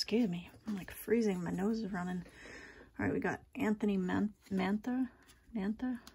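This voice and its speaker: A woman talks with a dark, mellow tone that is somewhat breathy. Her intonation stays fairly even over light background noise. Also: moderate pace. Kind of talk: casual pack-opening commentary. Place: shop.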